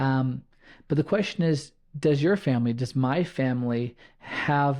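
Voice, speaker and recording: A man's normal speaking voice, medium in pitch, at a fairly slow pace with ordinary pitch variation and a quiet background. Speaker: podcast host. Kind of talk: solo podcast monologue.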